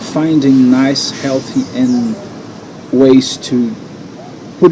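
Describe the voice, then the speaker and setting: A man with a Brazilian accent speaks at a medium pitch with fairly even intonation. Noticeable background noise runs beneath his voice. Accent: non-native English, Brazilian Portuguese. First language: Portuguese. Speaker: NLP coach and hypnotherapist. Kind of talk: guided coaching exercise. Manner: halting.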